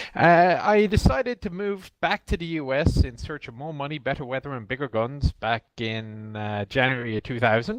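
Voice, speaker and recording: A man with a slight Irish accent and medium pitch, very wide pitch swings, big swings in loudness, a moderate pace and hardly any pauses. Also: dry, close sound with no echo. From Ireland. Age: 40s. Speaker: military historian, game company representative. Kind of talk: podcast interview.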